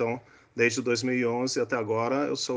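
Against a quiet background, a man speaks at a fairly slow pace. His pitch is medium. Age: 60s. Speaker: neurosurgeon. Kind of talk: interview explaining science.

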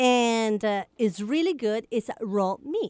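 Very wide pitch swings come through on a very clean recording with a silent background and a dry, close sound with no echo. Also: woman. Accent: Italian. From Italy. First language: Italian. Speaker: radio co-host. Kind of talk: casual chat. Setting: studio.

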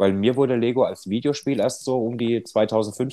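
A man's dark, mellow voice at a medium pitch, with ordinary pitch variation. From Odenwald, southern Hesse (Birkenau). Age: 30s. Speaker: podcast co-host. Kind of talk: casual chat.

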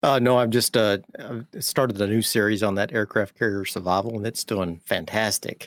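With a fairly low pitch, a man has an unremarkable speaking voice and fairly even intonation. He keeps a moderate pace with hardly any pauses, dry and close with no echo. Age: 40s. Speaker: gaming YouTuber. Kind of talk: casual chat. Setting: video call.

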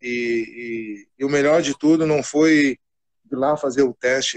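Recorded dry and close with no echo, a man uses a normal speaking voice at a fairly high pitch with fairly even intonation. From Rio Grande do Sul, Brazil (Cachoeira do Sul). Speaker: football coach. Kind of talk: casual interview.

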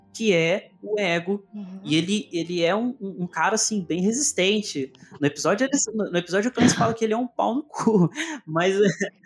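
A man speaks in a high voice at a moderate pace, with ordinary pitch variation. Noticeable background noise runs under the recording. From interior of Minas Gerais, Brazil. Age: 20s. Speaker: podcast host. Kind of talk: casual chat.

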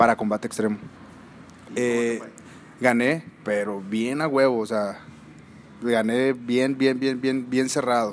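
A man speaks at a very slow pace with long, frequent pauses. His medium-pitched voice keeps a fairly even intonation. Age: 30s. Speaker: mixed martial arts fighter and coach. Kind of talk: casual interview.

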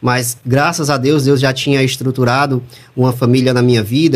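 Here is an unremarkable speaking voice from a man. He keeps a moderate pace at a medium pitch. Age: 30s. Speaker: audio producer and voice-over announcer. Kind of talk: interview.

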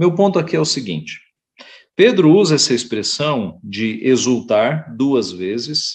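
A man talks at a very slow pace with a fairly high pitch. His voice shows vocal fry and very wide pitch swings. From Brazil, São Paulo (east zone). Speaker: pastor. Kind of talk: Sunday school lesson. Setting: online church broadcast.

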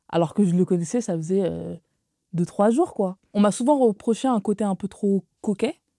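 The voice has a dark, mellow tone, moderate pace and ordinary pitch variation, with dry, close sound, no echo, and a very clean recording against a silent background. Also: woman. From Paris suburbs, Créteil. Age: 20s. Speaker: communications officer. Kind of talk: casual chat.

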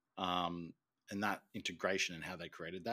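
A man speaks very fast in an Australian accent. His pitch is very deep and low, his tone bright and sharp. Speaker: podcast co-host. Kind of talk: casual chat.

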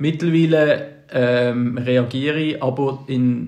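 A man talks with fairly even intonation, and audible room echo can be heard around his voice. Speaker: podcast co-host. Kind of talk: casual chat.

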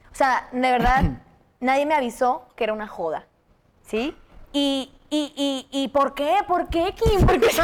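A woman's high voice at a very slow pace, with lively intonation. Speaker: podcast co-host, nutritionist. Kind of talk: casual chat. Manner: animated.

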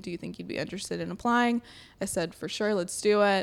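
This woman talks with a slight Southern US accent on a very clean recording over a silent background. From Alabama, Sylacauga. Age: 20s. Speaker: podcast co-host. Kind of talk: casual chat.

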